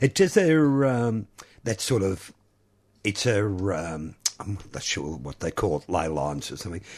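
A relaxed-toned man talks at a fairly low pitch. His pace is fairly slow, and his pitch swings very widely. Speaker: radio host. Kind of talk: radio DJ patter: warm, chatty on-air banter with greetings and a show sign-off. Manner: relaxed, breezy and good-humoured, laughing and teasing a co-host.

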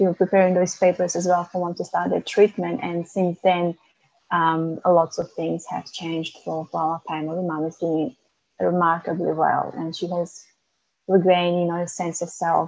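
Speaking in a Macedonian accent, a woman with a fairly low pitch keeps a monotone, flat intonation at a moderate pace. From North Macedonia. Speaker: author and young carer advocate. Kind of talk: interview. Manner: halting, many fillers.

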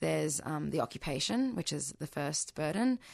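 Speaking with an Australian accent at a moderate pace, a woman uses a very deep, low pitch against a quiet background. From Australia (arrived as a small child, born in Bahrain). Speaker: Palestinian activist. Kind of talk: radio interview. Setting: radio studio.

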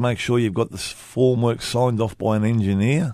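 In an Australian accent, the speaker moves at a fairly quick pace. Intonation stays fairly even against a quiet background. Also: man. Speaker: community radio host, construction union. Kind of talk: casual chat.

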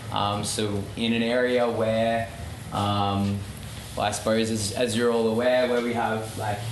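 Over noticeable background noise and with audible room echo, a man with an Australian accent speaks in a monotone, flat intonation. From Melbourne, Australia. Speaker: campaign organiser. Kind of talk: public talk.

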